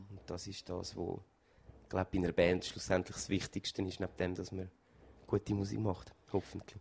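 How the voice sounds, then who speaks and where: A man's very deep, low, somewhat breathy voice at a moderate pace, monotone and flat in intonation, with big swings in loudness and long, frequent pauses. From Switzerland, Zürich. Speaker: singer in a band. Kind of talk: interview. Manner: halting.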